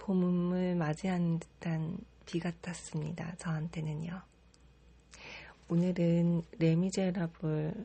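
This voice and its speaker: A soft-spoken, somewhat breathy woman at a fairly low pitch, monotone and flat, at a very slow pace with long, frequent pauses. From Korea. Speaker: model. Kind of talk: casual talk to listeners.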